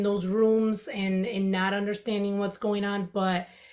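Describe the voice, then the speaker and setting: A woman talks with a Dominican accent over noticeable background noise. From Dominican Republic. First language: Spanish. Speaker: content writer and podcaster. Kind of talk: interview.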